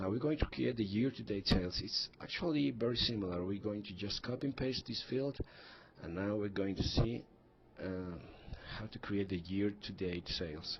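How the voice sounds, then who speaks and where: Fairly low in pitch, a man with a non-native accent speaks with lively intonation. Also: moderate pace. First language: not English. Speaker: software tutorial presenter. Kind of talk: tutorial. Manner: hesitant, frequent fillers and restarts.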